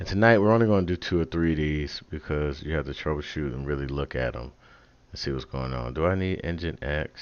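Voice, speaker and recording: A very deep, low-pitched man's voice, animated in tone, at a fairly quick pace with ordinary pitch variation. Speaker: tech livestreamer. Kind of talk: live coding tutorial. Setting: home livestream. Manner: casual, animated.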